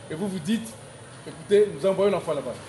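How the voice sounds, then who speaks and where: Audible room reverb and noticeable background noise surrounding a male voice. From DR Congo, Kisangani. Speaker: school founder. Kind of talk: inaugural speech. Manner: halting.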